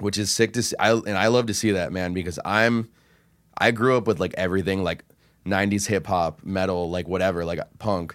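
A man with an ordinary speaking voice talks at a fairly quick pace and a fairly low pitch with fairly even intonation, recorded very cleanly against a silent background. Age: 20s. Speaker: podcast producer. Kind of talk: casual chat.

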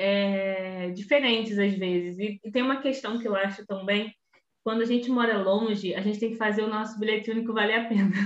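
Fairly even intonation and a moderate pace in a plain, everyday voice. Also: woman. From Rio de Janeiro state, Belford Roxo. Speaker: teacher and researcher, podcast co-host. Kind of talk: casual chat.

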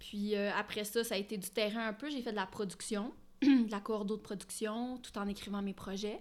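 A woman with a medium-pitched, normal speaking voice talks at a moderate pace. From Ottawa, Ontario (Franco-Ontarian). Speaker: screenwriter and director. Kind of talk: casual interview.

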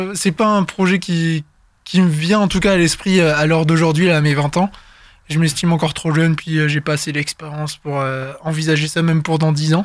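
A man with an ordinary speaking voice keeps a moderate pace and fairly even intonation. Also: fairly high pitch for a man. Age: 20s. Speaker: guest interviewee. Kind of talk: casual interview. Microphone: good studio microphone.

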